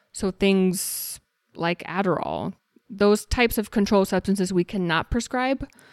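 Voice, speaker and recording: A woman with an ordinary speaking voice and an American accent talks fairly slowly at a medium pitch with ordinary pitch variation, in a dry, close sound with no echo on a very clean recording with a silent background. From Texas. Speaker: naturopathic doctor. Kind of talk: casual interview.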